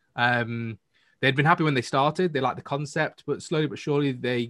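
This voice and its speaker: With a Manchester accent, a man rattles along at a very fast pace with ordinary pitch variation. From Manchester, northern England. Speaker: entrepreneur guest. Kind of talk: casual interview.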